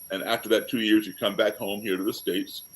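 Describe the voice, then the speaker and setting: Here is a man in an American accent with a plain, everyday voice. His pitch varies in an ordinary way. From American, raised abroad as embassy kid. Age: 60s. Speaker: blues pianist and actor. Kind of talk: interview.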